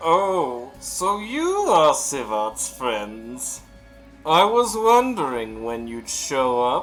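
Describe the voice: With faint music in the background, a man puts on a character voice, pitched fairly high and delivered at a very slow pace.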